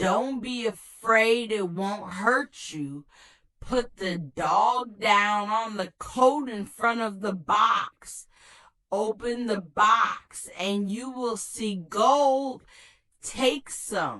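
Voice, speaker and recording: A woman's put-on character voice, fairly high-pitched, with ordinary pitch variation and a very slow pace. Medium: read story. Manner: instructive, deliberate.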